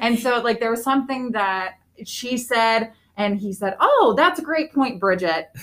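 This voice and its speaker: This woman has an unremarkable speaking voice and an American accent. She talks at a fairly slow pace with ordinary pitch variation. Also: fairly high pitch for a woman. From northeastern Pennsylvania, Wilkes-Barre/Scranton area. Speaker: school teacher. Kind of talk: casual chat.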